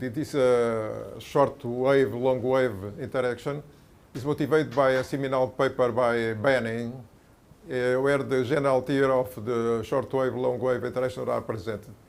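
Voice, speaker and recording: At a moderate pace, a man speaks with a medium pitch and fairly even intonation. Audible room echo surrounds his voice. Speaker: mathematician, conference speaker. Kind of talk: lecture. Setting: conference talk with audience. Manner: halting, many fillers.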